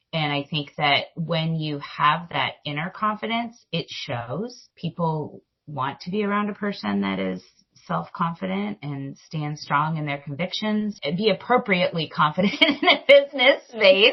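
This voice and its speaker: A loud woman with a fairly low pitch speaks at a fairly slow pace, her pitch swinging very widely. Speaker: grocery industry executive. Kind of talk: interview.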